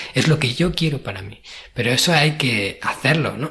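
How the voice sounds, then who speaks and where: A man talks at a medium pitch, with noticeable background noise in the recording. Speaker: podcast host. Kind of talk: solo podcast monologue.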